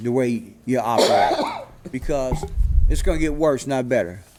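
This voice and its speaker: With an American accent, a man talks while noticeable background noise carries on. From Los Angeles. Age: 60s. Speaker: public commenter. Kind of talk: public comment. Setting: public meeting. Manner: halting, many fillers.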